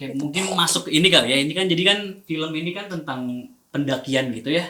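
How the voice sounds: Fast and bright, a man's voice has a sharp tone, a fairly high pitch, and ordinary pitch variation.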